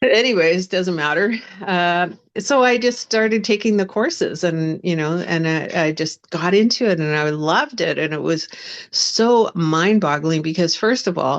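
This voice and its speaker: With a Western Canadian accent, a woman speaks at a moderate pace in a fairly low pitch, her intonation lively. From Canada, West Vancouver. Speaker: spiritual coach and minister. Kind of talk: interview testimony. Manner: halting, many fillers.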